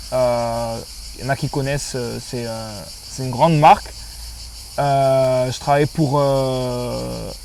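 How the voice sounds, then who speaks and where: Over noticeable background noise, a man speaks very slowly with long, frequent pauses and big swings in loudness. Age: 20s. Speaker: sheltered workshop worker. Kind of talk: testimony. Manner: halting.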